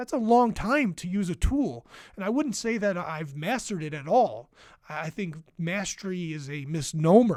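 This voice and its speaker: On a very clean recording with a silent background, a high-pitched man speaks with very wide pitch swings and big swings in loudness. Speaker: podcast host and therapist. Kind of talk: podcast monologue teaching. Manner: quick speaking.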